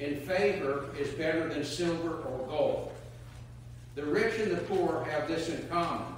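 A man talks at a fairly slow pace. Strong room echo and light background noise surround his voice. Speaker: clergy reader. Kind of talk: scripture reading. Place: church. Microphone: camera far.

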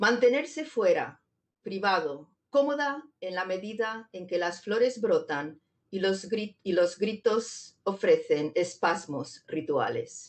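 Very wide pitch swings at a very slow pace against a quiet background. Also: woman, fairly high pitch for a woman. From Zamora, Spain. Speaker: poet and digital artist. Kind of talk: poetry reading and artist talk, playful explanatory commentary. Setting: video conference. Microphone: video call.

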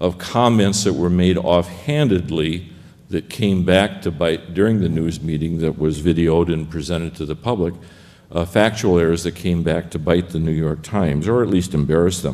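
At a moderate pace, a man talks in a very deep, low voice with ordinary pitch variation. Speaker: conference panelist. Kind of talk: lecture. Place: hall. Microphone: podium.

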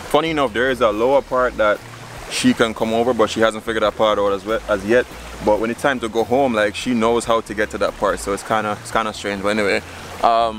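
There is light background noise as a man talks at a very fast pace with fairly even intonation, the sound dry with no echo. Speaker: vlogger. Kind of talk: casual vlog chat. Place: waterside. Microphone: phone near.

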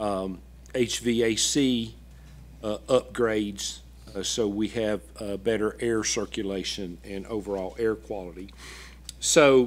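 This man's voice sits fairly low. He talks at a very slow pace with ordinary pitch variation. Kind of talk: presentation to a board. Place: meeting room. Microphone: podium.

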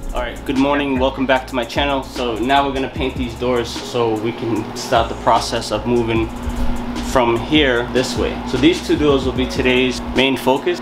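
With background music playing, the man delivers his words at a moderate pace. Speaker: DIY vlogger. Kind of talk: casual vlog chat. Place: home room. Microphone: phone near.

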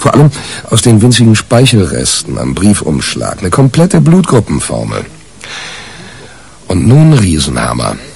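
A man uses a put-on character voice at a low pitch, slightly mellow in tone and with vocal fry. He speaks at a moderate pace with very wide pitch swings.

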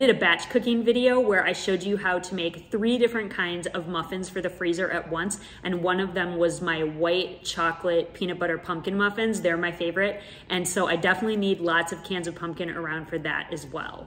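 At a fairly quick pace and with few pauses, a woman speaks in a fairly low pitch with a fairly bright tone. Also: fairly even intonation.

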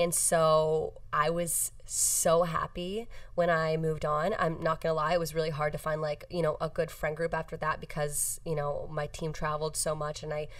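A woman's low voice at a moderate pace, with little pitch movement

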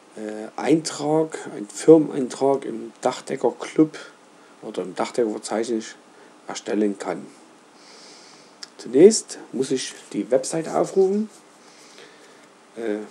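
Very slow delivery with long, frequent pauses, in a dark, mellow tone. The pitch swings very widely, and the loudness rises and falls a lot. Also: man, medium pitch for a man. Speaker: roofer, company owner. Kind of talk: screen-recorded website tutorial. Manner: casual, hesitant, with filler sounds.

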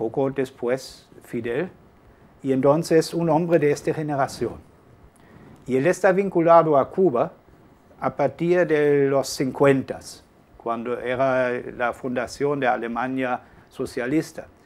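With a German accent, a man speaks at a very slow pace, leaving long, frequent pauses. His fairly high pitch shows ordinary variation. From Germany, Hamburg. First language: German (speaking Spanish). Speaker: journalist and author. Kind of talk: interview. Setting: studio. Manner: halting.

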